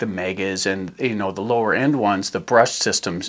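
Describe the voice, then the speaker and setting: With ordinary pitch variation, a man talks at a moderate pace in a normal speaking voice. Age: 60s. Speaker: RC hobby channel host. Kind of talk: tutorial. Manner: casual.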